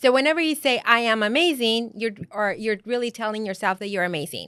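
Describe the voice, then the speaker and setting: A woman with a Spanish accent, fairly high in pitch, bright and sharp in tone, with lively intonation, in a dry, close sound with no echo on a very clean recording with a silent background. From Mexico. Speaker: life and business coach. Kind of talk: podcast interview.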